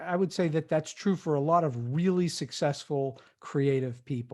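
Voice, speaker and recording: An unremarkable speaking voice belongs to a man with fairly high pitch and ordinary pitch variation. He speaks at a fairly slow pace against a quiet background. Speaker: podcast host. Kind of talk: interview.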